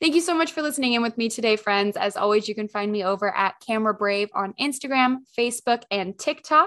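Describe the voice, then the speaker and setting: Her fairly high voice races at a very fast pace with lively intonation and hardly any pauses, the woman's sound dry and close with no echo. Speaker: podcast host and camera confidence coach. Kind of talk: solo podcast monologue. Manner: animated; loud.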